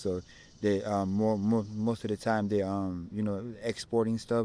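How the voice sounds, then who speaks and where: A man with an Ethiopian accent speaks at a moderate pace in a fairly low pitch, his tone dark and mellow. His intonation is monotone and flat, on a very clean recording with a silent background. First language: Amharic. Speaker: content creator interviewed on street. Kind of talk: casual interview. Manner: halting, many false starts.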